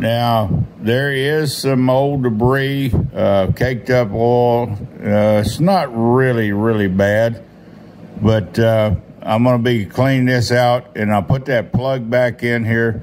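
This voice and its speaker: A man speaks very slowly with fairly even intonation and very even loudness over light background noise. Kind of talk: casual workshop tutorial. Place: workshop. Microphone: phone near.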